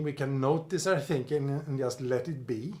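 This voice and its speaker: With a Swedish accent, a man talks at a fairly slow pace in a somewhat breathy voice, with audible room echo around him. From Sweden. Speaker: personal development coach. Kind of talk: video lecture with whiteboard drawing.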